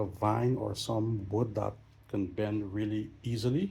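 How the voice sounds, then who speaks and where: The tone is dark and mellow. There is a somewhat breathy quality to the voice. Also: man. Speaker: travel vlogger and pilot. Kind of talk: casual vlog walkthrough. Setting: indoors, old hotel. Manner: quiet, hushed.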